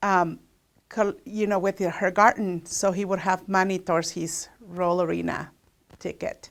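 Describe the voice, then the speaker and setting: Speaking with a Spanish accent, a woman keeps a moderate pace. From Mexico. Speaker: local resident sharing memories. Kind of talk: personal reminiscence.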